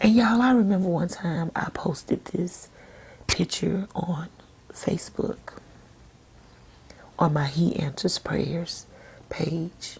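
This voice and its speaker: A soft-spoken woman with a fairly low pitch and a gentle tone talks at a very slow pace, with ordinary pitch variation and long, frequent pauses. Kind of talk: devotional sermon-style talk to camera. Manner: soft-spoken, gentle.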